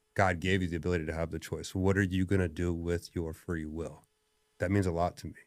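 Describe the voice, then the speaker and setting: A very fast delivery on a very clean recording with a silent background. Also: man, very deep, low pitch for a man. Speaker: strength coach and gym owner. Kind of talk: podcast conversation. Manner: loud; animated.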